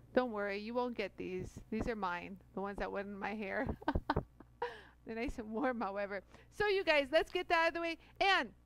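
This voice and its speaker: A woman speaks at a moderate pace with very wide pitch swings. Noticeable background noise is present, and the sound is dry with no echo. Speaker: live show host. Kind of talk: casual live stream chat. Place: studio. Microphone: headset.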